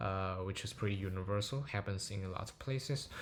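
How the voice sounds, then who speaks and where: The man's pitch shifts in an ordinary way as he talks. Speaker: machine learning paper reviewer. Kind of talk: technical paper walkthrough. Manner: slow; hesitant, many filler words.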